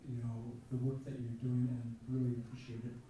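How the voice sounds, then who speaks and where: A man speaks at a medium pitch with monotone, flat intonation. There is noticeable background noise and audible room echo. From Alaska. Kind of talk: audience comment at conference. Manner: halting, many fillers.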